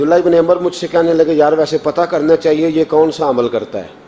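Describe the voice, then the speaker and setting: There is noticeable background noise. A man speaks at a fairly high pitch. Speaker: Islamic preacher giving a sermon. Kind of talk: religious sermon storytelling.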